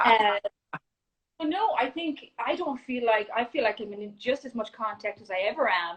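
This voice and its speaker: A woman speaks in an Irish accent at a fairly high pitch. Her pace is moderate and her pitch varies in an ordinary way. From Ireland. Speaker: junior golf coach. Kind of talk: casual interview chat. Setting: Instagram Live video call.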